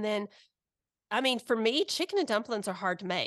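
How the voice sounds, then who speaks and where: In a quiet background, a woman speaks at a fairly high pitch with lively intonation. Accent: Southern US. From Alabama, US South. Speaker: guest co-host, mother of teens. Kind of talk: casual chat. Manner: animated, laughing.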